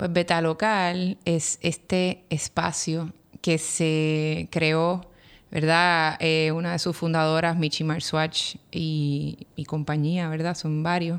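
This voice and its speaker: At a very slow pace, the voice runs in a monotone, flat intonation on a very clean recording with a silent background. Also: woman. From Puerto Rico, Río Piedras. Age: 40s. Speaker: architect and educator. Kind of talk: interview conversation. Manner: hesitant, many fillers.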